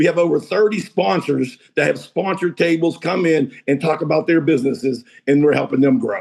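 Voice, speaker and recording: Here a man with an American accent talks at a fairly quick pace in an animated tone, with hardly any pauses and very even loudness. His fairly high voice shows vocal fry and ordinary pitch variation. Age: 60s. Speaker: real estate and mortgage businessman. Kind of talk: interview conversation.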